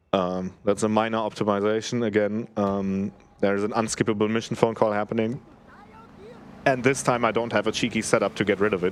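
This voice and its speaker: A man with a fairly low pitch and a non-native accent talks at a fairly quick pace. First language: not English. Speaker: speedrunner. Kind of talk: live commentary while playing. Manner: casual, hesitant with fillers.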